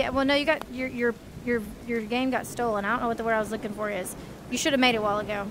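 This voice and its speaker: A woman's fairly high voice at a very fast pace over noticeable background noise. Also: dry sound with no echo. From US. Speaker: gaming streamer; VR game streamer. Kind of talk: casual chat. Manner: animated. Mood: playful, joking. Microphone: headset.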